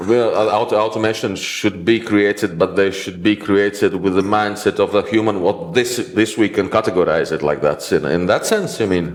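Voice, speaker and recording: A man with a Latvian accent speaks at a moderate pace with hardly any pauses, his fairly low voice showing ordinary pitch variation over noticeable background noise. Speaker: IT consultant and interviewer. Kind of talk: interview. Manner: halting.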